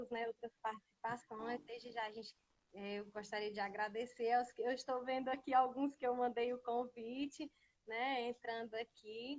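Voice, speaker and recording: A woman's high voice at a moderate pace, monotone and flat, with a dry, close sound and no echo. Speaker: teacher, writer and singer. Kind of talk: casual live stream chat. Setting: Instagram live video. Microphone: audio too quiet.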